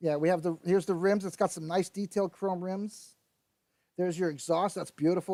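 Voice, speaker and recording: A man speaks at a high pitch in a dark, mellow tone with fairly even intonation. The sound is dry and close, with no echo. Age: 50s. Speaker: model kit hobbyist streamer. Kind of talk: live stream unboxing chat. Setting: live stream. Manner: casual, hesitant with fillers.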